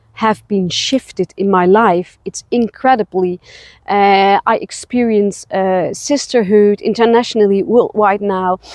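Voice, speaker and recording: With a Dutch accent, a woman speaks at a very slow pace. Her pitch is medium, and her intonation is fairly even. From Netherlands. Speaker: spiritual travel guide. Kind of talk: personal vlog. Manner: halting, many fillers.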